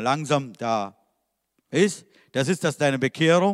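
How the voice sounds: This man speaks at a medium pitch with lively intonation and a fairly bright tone.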